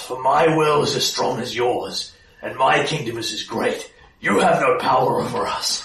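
A growling, put-on character voice at a moderate pace, with slight echo. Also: man.

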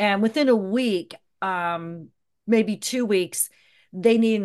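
Against a quiet background, a woman with an American accent talks at a fairly slow pace in an ordinary speaking voice with ordinary pitch variation. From US South, Georgia (Atlanta). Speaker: event producer. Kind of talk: casual interview.

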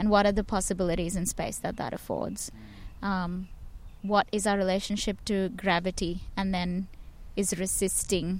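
At a moderate pace, a woman with a medium pitch speaks in a monotone, flat way. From India. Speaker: performance maker and curator. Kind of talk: casual interview. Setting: outdoors in a park. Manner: hesitant, many fillers.

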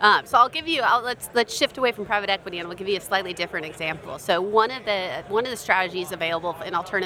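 Against noticeable background noise, a woman talks at a very fast pace and a medium pitch. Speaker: investment firm marketer. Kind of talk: interview.

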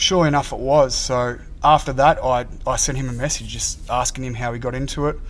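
The speaker is a man with an Australian accent. He talks at a fairly quick pace. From Melbourne, Australia. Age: 20s. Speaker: college football punter. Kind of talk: interview. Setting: football facility.

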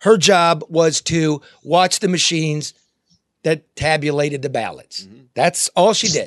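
A man's fairly high voice, fairly slow, with ordinary pitch variation, big swings in loudness, and a dry, close sound with no echo. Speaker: radio host. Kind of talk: casual talk radio show. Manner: animated, profane.

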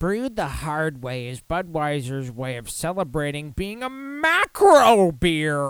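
Whiny and put-on as a character voice, the speech sits at a middle pitch and moves at a fairly slow pace with hardly any pauses.

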